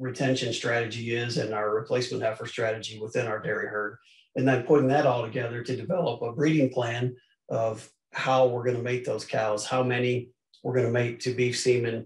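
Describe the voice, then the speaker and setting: A man talks at a fairly quick pace in a somewhat breathy voice. His intonation is flat and monotone, and the room echo is audible. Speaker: presenter. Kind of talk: lecture. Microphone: video call.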